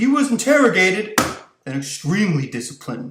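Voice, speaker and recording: In a put-on character voice, a man whines at a high pitch and a fairly quick pace, with very wide pitch swings. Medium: read story. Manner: whiny.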